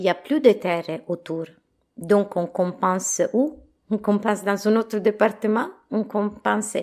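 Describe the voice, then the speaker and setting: A woman speaks with an Italian accent at a fairly slow pace. Her pitch varies in an ordinary way. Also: medium pitch for a woman. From Italy. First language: Italian (speaking French). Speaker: organic farmer and baker. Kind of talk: interview.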